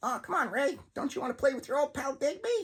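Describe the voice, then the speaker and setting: A squeaky, high-pitched put-on character voice moves along at a fairly quick pace. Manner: menacing, dark malice.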